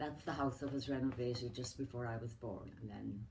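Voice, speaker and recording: A woman with an American accent talks at a moderate pace in a very deep, low voice that is dark, mellow and somewhat breathy. Audible room echo surrounds her. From Ireland, County Mayo. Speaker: elderly relative interviewed about her life. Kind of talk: family oral history interview.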